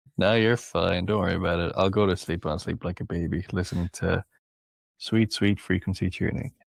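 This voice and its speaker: In a very clean recording with a silent background, a man with an Irish accent speaks at a very deep, low pitch with fairly even intonation. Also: fairly quick pace. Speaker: podcast guest, listener. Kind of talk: casual chat.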